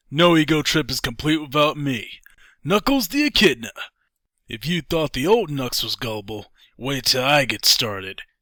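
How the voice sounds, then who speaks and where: Using a put-on character voice, a man speaks at a moderate pace with a fairly high pitch. The recording is very clean and the background silent. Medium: audio drama.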